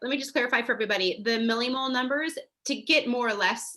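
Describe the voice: A woman talks at a fast pace in a fairly high pitch with a bright, sharp tone. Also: ordinary pitch variation.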